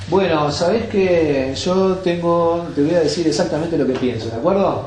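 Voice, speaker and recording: This man has a high-pitched voice, moving at a moderate pace with ordinary pitch variation and very even loudness. Noticeable background noise and audible room echo fill the recording. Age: 70s. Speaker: yoga teacher. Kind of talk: talk to an audience. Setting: bookshop talk with audience.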